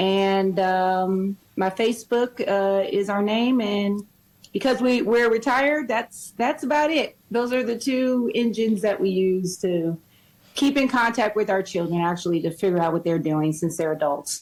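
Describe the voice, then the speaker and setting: With an American accent, a woman talks at a medium pitch and a fairly slow pace, her intonation lively and her loudness very even. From Wisconsin. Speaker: reality show contestant. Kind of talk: interview.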